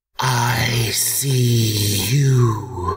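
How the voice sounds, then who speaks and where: In a put-on character voice, a man speaks at medium pitch, raspy and hissing, with a clear echo around him. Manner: sinister, menacing.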